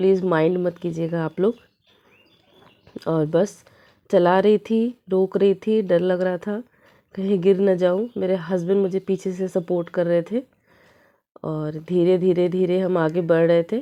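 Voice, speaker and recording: A woman's medium-pitched voice, dark and mellow in tone, with fairly even intonation, a fairly slow pace and long, frequent pauses. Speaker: family vlogger. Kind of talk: vlog narration.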